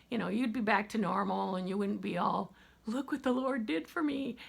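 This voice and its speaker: Vocal fry runs through this woman's voice. Her pitch variation is ordinary. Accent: American. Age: 60s. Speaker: vlogger. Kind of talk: casual chat.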